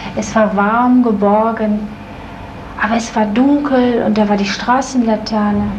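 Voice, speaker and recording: Over light background noise, a woman talks at a fairly slow pace in a fairly high pitch with monotone, flat intonation. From Germany, Duisburg (Ruhr area); Germany. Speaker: psychodrama group participant. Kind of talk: therapy session. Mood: reflective, recalling a scene. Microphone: old recording.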